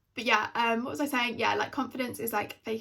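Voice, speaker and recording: This woman's voice sits fairly high and carries vocal fry. Her pitch moves with ordinary variation. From England. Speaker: YouTuber. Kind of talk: casual Q&A vlog. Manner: chatty.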